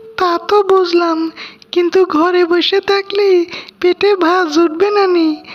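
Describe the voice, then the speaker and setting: A cartoonish character voice at an extremely high pitch speaks at a fairly slow pace over faint music in the background. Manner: practical, matter-of-fact.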